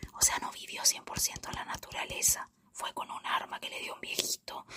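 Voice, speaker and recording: Over noticeable background noise, the whispering moves along fairly quickly. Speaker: ASMR youtuber. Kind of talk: casual film review monologue. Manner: fast.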